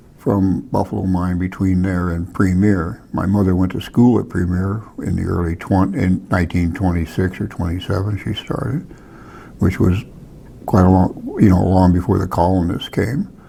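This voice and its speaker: Fairly even intonation at a moderate pace, with noticeable background noise. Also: man, very deep, low pitch for a man. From Alaska, Palmer. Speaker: hunting guide and wildlife technician. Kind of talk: oral history interview. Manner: halting, with false starts.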